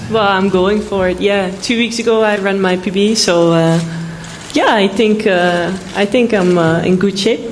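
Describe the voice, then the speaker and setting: A woman speaks at a medium pitch and a moderate pace, with fairly even intonation and very even loudness. The recording has audible room echo and noticeable background noise. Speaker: sprinter. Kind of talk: press conference answers. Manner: brief, casual answers.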